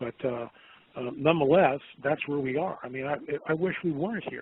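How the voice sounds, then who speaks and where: Noticeable background noise sits behind a man speaking at a very fast pace. His fairly high pitch moves with ordinary variation. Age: 60s. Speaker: documentary producer. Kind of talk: interview.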